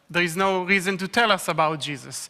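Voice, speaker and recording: A man's raised, projected voice with an Israeli accent, a high pitch, a bright, sharp tone and a moderate pace. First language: Hebrew. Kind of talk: sermon.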